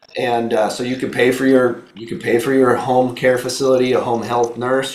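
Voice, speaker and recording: In an animated tone, a man talks fairly quickly at medium pitch, with audible room echo and noticeable background noise. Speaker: insurance benefits trainer. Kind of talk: training presentation. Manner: casual, animated.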